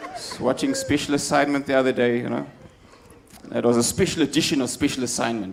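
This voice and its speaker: A man speaks at a fairly quick pace in a fairly high pitch, with ordinary pitch variation. His tone is animated, and crowd noise sounds in the background. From South Africa, Cape Town. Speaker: stand-up comedian. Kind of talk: stand-up. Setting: stage with audience.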